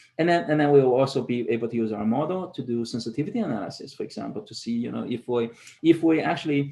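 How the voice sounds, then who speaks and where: A man talks at a fairly quick pace in a dark, mellow tone. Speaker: professor. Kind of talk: conference presentation. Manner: fast; halting, many fillers and repetitions.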